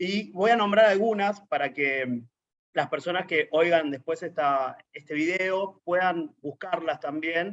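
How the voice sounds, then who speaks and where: In an Argentine accent, a man talks at a very slow pace. His pitch is high, with ordinary variation. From Argentina. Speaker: LGBT activist, network coordinator. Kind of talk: interview.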